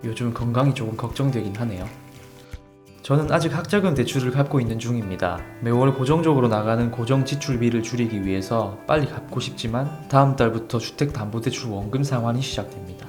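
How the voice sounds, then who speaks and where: Medium male pitch with ordinary pitch variation over music in the background. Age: 30s. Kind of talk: vlog voice-over narration.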